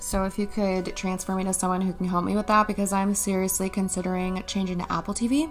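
Over faint music in the background, a woman talks at a very fast pace with fairly even intonation. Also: hardly any pauses. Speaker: comedy scam-baiting creator. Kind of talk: phone call conversation. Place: home room.

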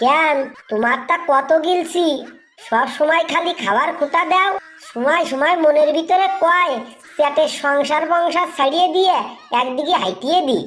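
A woman performs a cartoonish character voice pitched high. Her pitch varies an ordinary amount, and she speaks at a fairly slow pace. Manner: combative, fast retorts.

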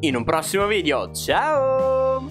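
A man is speaking. Clear music plays behind him. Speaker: gaming video creator. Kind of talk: gameplay commentary. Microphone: studio mic.

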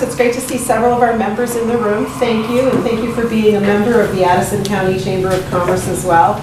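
A woman talks at a very fast pace with audible room echo and noticeable background noise. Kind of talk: public talk to audience. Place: meeting room. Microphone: camera far.

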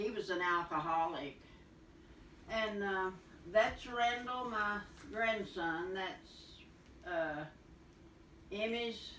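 A woman at a very slow pace with long, frequent pauses, audible room echo and light background noise. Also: ordinary pitch variation. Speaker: host showing family photos. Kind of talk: casual conversation. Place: home room.

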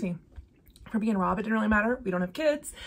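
A woman speaks in a somewhat breathy voice. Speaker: cross-stitch vlogger. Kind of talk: casual vlog chat. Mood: cheerful, laughing often. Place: home room.

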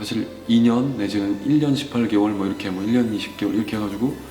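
Fairly quick delivery over background music. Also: man. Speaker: voice actor; army veteran. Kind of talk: interview answer.

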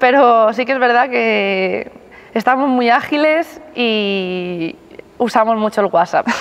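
Fairly high-pitched woman at a very slow pace, with lively intonation. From Spain. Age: 20s. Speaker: rhythmic gymnast, team captain. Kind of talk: interview answers. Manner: laughing, cheerful. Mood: relaxed, smiling. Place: gym. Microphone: lapel.

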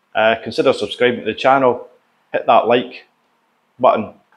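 The pace is moderate. It is a man talking. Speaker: cooking channel host. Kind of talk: casual vlog chat. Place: kitchen. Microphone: lapel.

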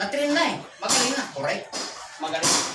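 A man's raised, projected voice at a fairly quick pace, with audible room echo and noticeable background noise. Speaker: dog trainer. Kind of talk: tutorial. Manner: commands to dog.

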